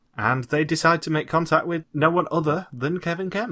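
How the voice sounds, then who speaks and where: With a British accent and a bright, sharp tone, a man talks fairly quickly on a very clean recording with a silent background. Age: 20s. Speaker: podcast host. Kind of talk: casual chat.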